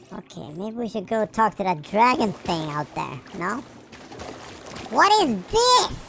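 The voice is fairly high in pitch and energetic in tone, broken by long, frequent pauses. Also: fairly slow pace. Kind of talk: let's-play commentary. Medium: game stream. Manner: energetic, silly.

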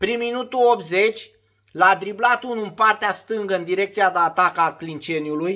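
A man speaks in a raised, projected voice with a bright, sharp tone and an animated delivery. His pitch varies in an ordinary way at a moderate pace, over a quiet background. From Romania. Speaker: former footballer turned sports vlogger. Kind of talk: casual monologue vlog. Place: home room. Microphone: phone near.

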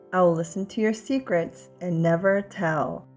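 Music plays in the background while the speaker goes at a very slow pace. The pitch moves with ordinary variation. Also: woman. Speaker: mother. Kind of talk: children's picture book read-aloud.

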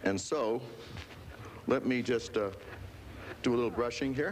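A man talks at a moderate pace. Noticeable background noise sits behind him. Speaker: television pitchman. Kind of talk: infomercial product demonstration. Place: studio. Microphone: lapel.

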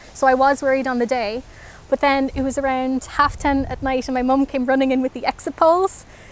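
A woman with a Northern Irish accent speaks very fast in a high pitch, the sound dry with no echo. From Belfast, Northern Ireland. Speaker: interviewee, local resident. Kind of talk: interview answer. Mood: emotional, relieved, reflective. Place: garden.

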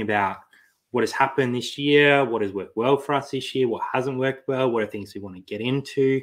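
Against a quiet background, a man with an Australian accent talks at a fairly quick pace with ordinary pitch variation. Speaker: online reseller, channel co-host. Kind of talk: casual live stream chat. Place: home room.

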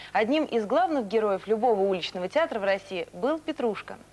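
Very wide pitch swings mark this woman's speech. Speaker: tv presenter. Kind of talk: tv interview. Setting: studio. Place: studio. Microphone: lapel.

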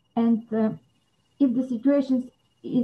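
A woman's high-pitched voice with a Bulgarian accent at a fairly slow pace. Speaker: psychologist and anti-trafficking coordinator. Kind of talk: interview. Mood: serious, thoughtful. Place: home room. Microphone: video call.

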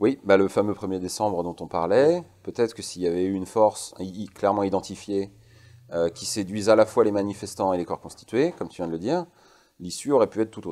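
Over a quiet background, a man with a fairly low pitch and a dark, mellow tone talks at a fairly quick pace, with ordinary pitch variation and big swings in loudness. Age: 40s. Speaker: guest. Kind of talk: interview. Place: studio. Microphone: lapel.

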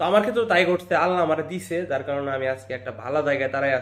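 A normal speaking voice with lively intonation. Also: man. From Bangladesh, Jamalpur district. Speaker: migrant worker vlogger. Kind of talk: vlog monologue.

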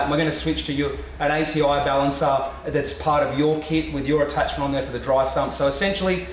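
Delivered at a very fast pace, the speech carries audible room echo over light background noise. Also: man. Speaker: presenter. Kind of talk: conversational explanation. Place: workshop.

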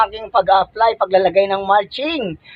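A man is speaking. His pace is fairly quick. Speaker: gardening vlogger. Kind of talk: vlog tutorial. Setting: outdoors in garden. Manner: halting with many fillers.

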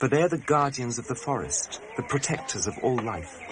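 A man's voice over noticeable background noise. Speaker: documentary filmmaker and narrator. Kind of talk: 1988 documentary narration, scripted voice-over. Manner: measured, reflective, wry.

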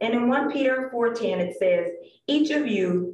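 The speech comes at a very slow pace, with audible room echo and light background noise. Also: woman. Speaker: lay preacher. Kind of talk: sermon. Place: church.

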